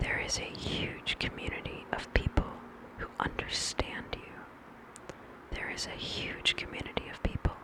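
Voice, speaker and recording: A whisper set against noticeable background noise. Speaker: ASMR creator. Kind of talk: ASMR positive affirmations. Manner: slow, repeated phrases.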